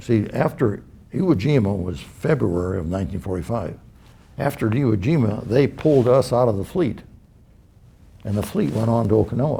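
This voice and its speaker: At a moderate pace, a man with a medium pitch and a dark, mellow, somewhat breathy tone speaks with very wide pitch swings. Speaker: World War II veteran, Air-sea Rescue. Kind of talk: personal war anecdote told to camera.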